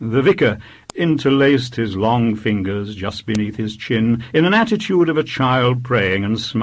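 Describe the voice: The intonation is lively. It is plain reading aloud.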